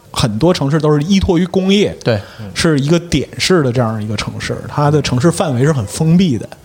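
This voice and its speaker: Noticeable background noise sits behind a man speaking at a moderate pace. His fairly high voice has lively intonation. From Liaoning, northeast China. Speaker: guest panelist. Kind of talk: casual chat.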